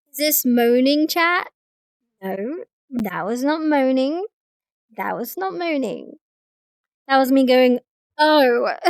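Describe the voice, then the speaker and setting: In a dry, close sound with no echo, a woman with a high pitch speaks at a very slow pace, leaving long, frequent pauses, her intonation lively. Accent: English. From England. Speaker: streamer. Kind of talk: casual chat. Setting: live stream with chat. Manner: animated.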